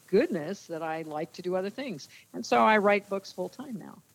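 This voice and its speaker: A woman with an American accent talks in a normal speaking voice at a medium pitch. Her pace is fairly quick and her intonation lively. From New Jersey. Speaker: former sportscaster and sports official. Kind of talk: casual interview.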